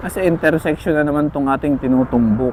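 Amid noticeable background noise, a man with a fairly high pitch talks with fairly even intonation. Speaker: motovlogger. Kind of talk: casual vlog commentary while riding. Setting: on a motorcycle in traffic.

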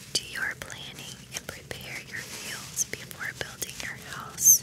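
Very slow whispering from a woman. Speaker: ASMR creator. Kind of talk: relaxing Bible reading. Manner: soft-spoken, slow. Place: home room. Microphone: studio mic.

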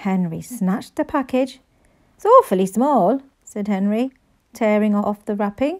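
A quiet background sits behind a natural reading voice.

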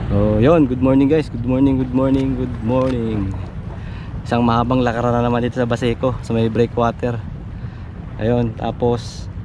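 A man talks at a moderate pace in a monotone, flat delivery, the sound dry with no echo but with noticeable background noise. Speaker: fishing vlogger. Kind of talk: casual vlog chat. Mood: cheerful, laughing. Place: waterside. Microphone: phone near.

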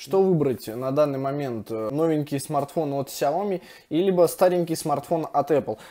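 A man talks at a fairly quick pace. His pitch varies in an ordinary way over a quiet background. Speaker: tech reviewer. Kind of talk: casual review commentary. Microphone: phone near.

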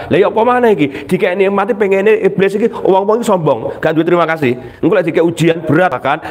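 Over noticeable background noise, a man talks very fast in an animated tone at a high pitch, with ordinary pitch variation and very even loudness. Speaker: Islamic preacher. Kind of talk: religious study talk.

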